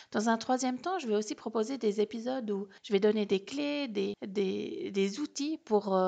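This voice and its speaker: Speaking at a moderate pace, a woman uses an ordinary speaking voice with a fairly high pitch. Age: 30s. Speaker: podcast host and holistic coach. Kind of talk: solo podcast monologue.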